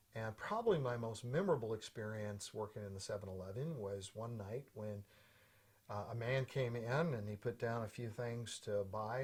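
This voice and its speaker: At a moderate pace, a man speaks at a medium pitch, somewhat breathy, with fairly even intonation. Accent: American. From US Pacific Northwest, Portland, Oregon. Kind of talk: personal storytelling.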